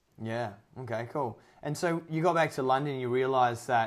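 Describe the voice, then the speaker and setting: An unremarkable speaking voice is heard here. Its pitch varies in an ordinary way at a moderate pace. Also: man. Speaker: podcast host. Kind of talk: casual interview. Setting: remote call, evening.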